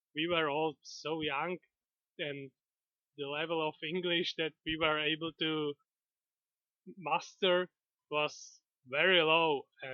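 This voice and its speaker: Long, frequent pauses break up speech delivered at a very slow pace with a non-native accent. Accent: European accent, non-native English. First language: not English (European language). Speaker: gaming video creator. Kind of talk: casual monologue. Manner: halting, many fillers.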